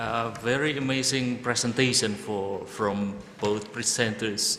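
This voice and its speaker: Noticeable background noise sits behind a man with an Indonesian accent, whose fairly low voice keeps a fairly even intonation. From Java, Indonesia. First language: Javanese. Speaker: event moderator. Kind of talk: seminar moderation. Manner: hesitant.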